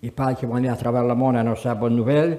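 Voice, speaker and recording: Animated in tone, a man speaks with a Quebec accent. Noticeable background noise and audible room echo fill the recording. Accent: Québécois French. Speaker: pastor. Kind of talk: sermon.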